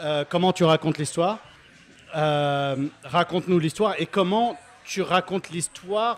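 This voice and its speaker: A man with a non-native accent speaks at a very slow pace. His pitch is high. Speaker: brewer, audience member. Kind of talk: audience question. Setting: stage with audience at beer festival.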